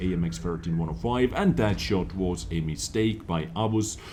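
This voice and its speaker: In a room with audible echo, a man with a non-native accent speaks at a very deep, low pitch, his tone dark and mellow with vocal fry. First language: not English. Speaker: gaming YouTuber. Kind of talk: gameplay replay commentary. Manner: animated; hesitant fillers.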